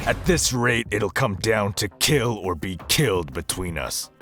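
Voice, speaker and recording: Music plays behind a man doing a put-on, growling character voice. It sits fairly low, moves at a fairly slow pace and has lively intonation. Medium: read story. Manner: gruff, stern.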